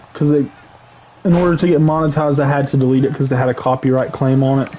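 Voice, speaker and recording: A man's fairly high-pitched voice is heard with noticeable background noise. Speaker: gaming livestreamer and wrestling commentator. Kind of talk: casual livestream rant. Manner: loud, yelling; animated, repetitive stammering.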